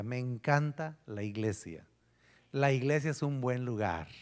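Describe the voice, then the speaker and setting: In a very clean recording with a silent background, a man with an unremarkable speaking voice talks at a fairly slow pace with lively intonation. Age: 50s. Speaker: pastor. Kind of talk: sermon.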